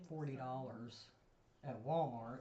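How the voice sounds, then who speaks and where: The speaker is soft-spoken and goes at a fairly slow pace. Noticeable background noise can be heard. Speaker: home food preservation expert. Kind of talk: casual chat.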